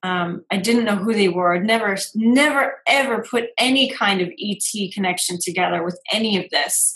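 This woman has a plain, everyday voice, pitched at a medium level. She keeps a moderate pace, and her pitch varies in an ordinary way. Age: 30s. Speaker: intuitive business coach and podcast host. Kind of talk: casual chat.

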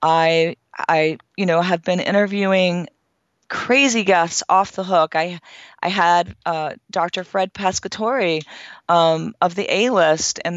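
A woman speaks in a normal speaking voice at a fairly low pitch. Her pace is fairly slow. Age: 50s. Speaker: fitness expert and author. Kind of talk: interview.

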